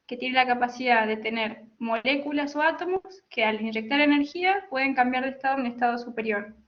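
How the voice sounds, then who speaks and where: The woman's voice is high in pitch. She keeps a moderate pace with ordinary pitch variation. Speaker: telecommunications engineer. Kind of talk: technical lecture. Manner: halting with self-corrections.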